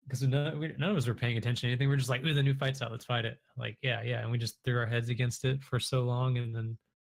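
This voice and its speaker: A man talks at a very fast pace with hardly any pauses. His voice is somewhat breathy. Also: medium pitch for a man, fairly even intonation. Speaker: Twitch streamer and online game player, guest in the interview. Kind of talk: casual podcast interview answer.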